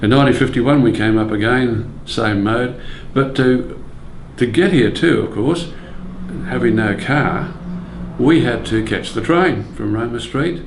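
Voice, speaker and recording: A man is speaking at a medium pitch. Noticeable background noise sits behind him. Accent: Australian. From Brisbane, Australia. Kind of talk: oral history interview recollection.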